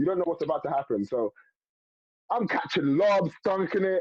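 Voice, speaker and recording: Talking at a very fast pace, a man has a strong London accent. His pitch is high. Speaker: former basketball player. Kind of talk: casual interview chat. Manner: animated storytelling.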